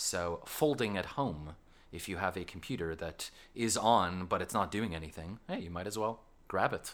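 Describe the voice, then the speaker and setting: This man talks at a moderate pace in a very deep, low voice, with ordinary pitch variation. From Canada. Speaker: school science teacher and podcast host. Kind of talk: casual podcast chat.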